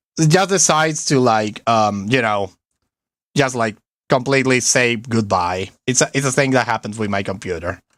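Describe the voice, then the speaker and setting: On a very clean recording with a silent background, a man speaks at a medium pitch and a moderate pace with lively intonation. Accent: strong Spanish. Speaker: vtuber gaming streamer. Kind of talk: live game stream commentary. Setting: live stream. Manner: animated.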